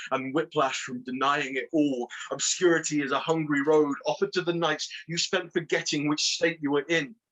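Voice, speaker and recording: A man with a fairly high pitch talks at a moderate pace in an ordinary speaking voice. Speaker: poet. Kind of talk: poetry reading.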